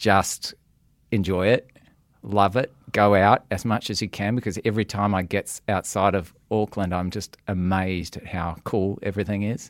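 With an Australian accent, a man speaks at a moderate pace in a fairly low, monotone voice with flat intonation. The very clean recording has a silent background and a dry, close sound with no echo. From Western Australia, Perth. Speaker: news executive. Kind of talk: interview.

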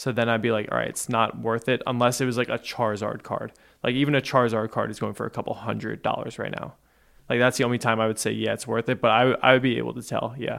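Talking at a very fast pace with an American accent, a man uses a medium pitch, a monotone, flat delivery and vocal fry. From New Jersey. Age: 20s. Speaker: podcast producer. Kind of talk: casual chat.

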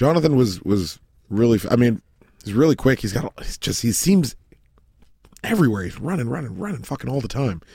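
A man's dark, mellow, somewhat breathy voice moves at a fairly quick pace with very wide pitch swings and long, frequent pauses. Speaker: soccer podcast co-host. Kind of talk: casual chat.

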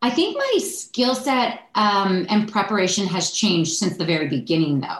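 With a Canadian accent, a woman at a medium pitch speaks at a moderate pace with lively intonation and hardly any pauses, with audible room echo. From Ontario, Canada (Oakville). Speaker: sports TV anchor. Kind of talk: interview conversation. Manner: casual, natural tone rather than put-on anchor voice.

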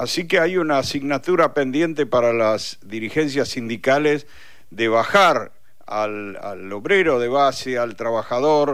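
A man with an unremarkable speaking voice and medium pitch talks at a fairly slow pace with lively intonation. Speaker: radio journalist. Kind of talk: interview.

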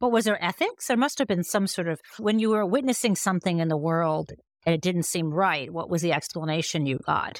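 A woman with an American accent speaks at a fairly quick pace in a fairly low pitch, her intonation lively. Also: very clean recording, silent background. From US Midwest, Michigan. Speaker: author and legal scholar. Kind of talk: interview conversation. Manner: animated.

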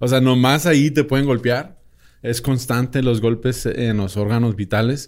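A man talks at a fairly slow pace in a normal speaking voice, medium in pitch with fairly even intonation. The recording is very clean with a silent background. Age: 30s. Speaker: boxing expert and podcaster. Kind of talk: casual chat.

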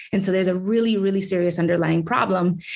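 In an American accent, a woman talks at a fairly quick pace in a normal speaking voice. Her pitch is medium and her intonation fairly even. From New York City, the Bronx. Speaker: city council member. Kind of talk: political interview.

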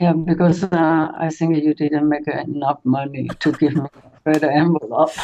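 A woman's very deep, low voice with a Taiwanese accent, monotone and flat, at a moderate pace with hardly any pauses and very even loudness. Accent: Taiwanese Mandarin-accented English. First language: Mandarin Chinese. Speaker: host's mother. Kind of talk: interview.

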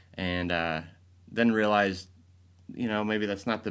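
A man with a normal speaking voice, an American accent, a fairly low pitch, fairly even intonation and a moderate pace. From Michigan, Grand Rapids. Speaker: advertising agency president. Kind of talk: interview.

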